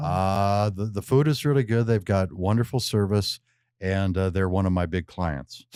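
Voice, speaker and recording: A man's fairly low-pitched voice at a moderate pace with ordinary pitch variation, on a very clean recording with a silent background. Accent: Western US. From Missoula, Montana. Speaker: radio host. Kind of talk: interview answer.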